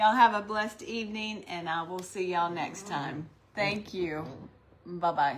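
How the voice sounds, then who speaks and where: The speech runs at a moderate pace. Noticeable background noise and audible room echo are present. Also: woman, medium pitch for a woman, ordinary pitch variation. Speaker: craft livestream host. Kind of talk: live demonstration. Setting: online livestream. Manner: gets quiet when concentrating.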